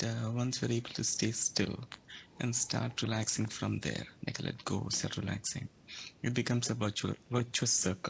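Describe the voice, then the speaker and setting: A soft-spoken man with vocal fry talks at a moderate pace and medium pitch, with ordinary pitch variation and very even loudness. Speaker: participant. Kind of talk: question and sharing.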